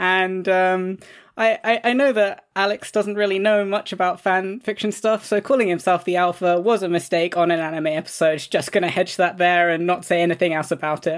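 With a London accent, a woman talks at a fairly quick pace with hardly any pauses, her medium-pitched voice keeping a fairly even intonation. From London, England. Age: 20s. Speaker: podcast writer and creator. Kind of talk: casual chat.

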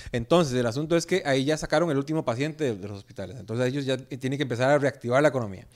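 A man with a Costa Rican accent speaks at a medium pitch and a very fast pace, with hardly any pauses. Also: ordinary pitch variation. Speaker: comedian and podcaster. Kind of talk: casual chat.

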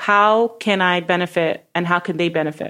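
A woman speaks with a New York accent. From Brooklyn, New York. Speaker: real estate broker. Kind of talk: interview.

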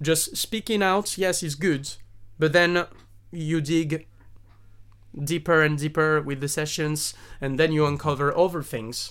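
Long, frequent pauses mark this very clean recording with a silent background. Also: man, fairly high pitch for a man, fairly slow pace. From southern France. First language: French. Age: 30s. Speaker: singer-songwriter and actor. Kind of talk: casual chat.

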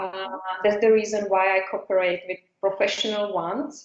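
With a Czech accent, a woman talks at medium pitch. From Czech Republic. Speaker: business founder. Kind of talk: interview. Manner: halting; slow.

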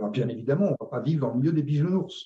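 The man's voice has a dark, mellow tone. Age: 60s. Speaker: retired sales director. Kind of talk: interview conversation. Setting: video call.

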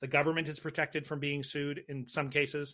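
A man with a fairly high pitch and an American accent, talking at a very fast pace. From United States. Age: 40s. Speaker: podcaster. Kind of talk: casual chat.

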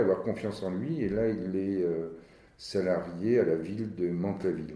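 A man with a dark, mellow tone and fairly low pitch, at a moderate pace with ordinary pitch variation and audible room echo. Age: 60s. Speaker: company director. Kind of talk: interview. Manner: halting.

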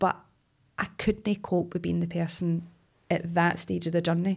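Somewhat breathy speech comes through in a very clean recording with a silent background. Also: woman. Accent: Glaswegian. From Scotland, Glasgow. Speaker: actress. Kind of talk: casual chat.

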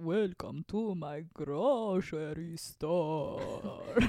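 A woman puts on a character voice at a fairly low pitch. She speaks at a very slow pace.

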